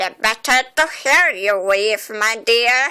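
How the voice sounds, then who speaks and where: A squeaky, put-on character voice from a woman, fairly high in pitch and at a fairly slow pace. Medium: read story. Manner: sly, falsely gentle.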